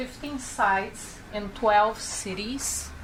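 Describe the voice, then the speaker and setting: In a room with audible echo, a woman speaks very slowly at a fairly high pitch with fairly even intonation. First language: not English. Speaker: public health researcher. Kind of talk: conference presentation. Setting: panel event. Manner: halting.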